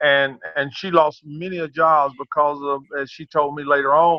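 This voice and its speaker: Here is a man with a Southern US accent and a fairly high pitch. He talks at a fairly slow pace. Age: 60s. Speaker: track and field coach. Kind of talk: interview. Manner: halting, many repetitions.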